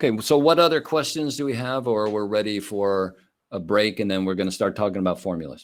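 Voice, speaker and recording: Lively intonation at a fairly quick pace. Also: man, fairly low pitch for a man. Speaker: teacher of Chinese herbal medicine. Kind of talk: online lecture. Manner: fast.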